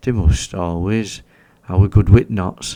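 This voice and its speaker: A man with a Yorkshire accent, dark and mellow in tone, very slow in pace, with ordinary pitch variation on a very clean recording with a silent background. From Yorkshire, England. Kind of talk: sleep story. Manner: slow, soothing.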